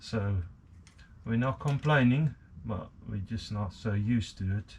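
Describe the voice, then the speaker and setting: A somewhat breathy man talks at a fairly slow pace with ordinary pitch variation. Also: fairly low pitch for a man. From South Africa. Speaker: hobbyist machinist. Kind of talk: workshop tutorial. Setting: home workshop. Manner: hesitant, many fillers.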